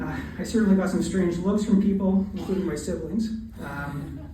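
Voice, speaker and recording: Audible room echo and noticeable background noise, at a moderate pace. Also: man. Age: 60s. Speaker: radiologist. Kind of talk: eulogy. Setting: memorial service. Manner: halting.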